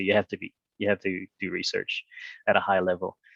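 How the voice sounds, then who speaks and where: At a moderate pace, a man speaks. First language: not English. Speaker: university representative. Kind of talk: presentation. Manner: hesitant, many fillers.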